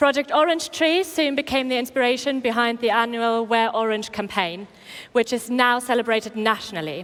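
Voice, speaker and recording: A woman with a German accent speaks at a high pitch with ordinary pitch variation. The recording is very clean, with a silent background. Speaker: event host. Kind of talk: event presenting. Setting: stage with audience.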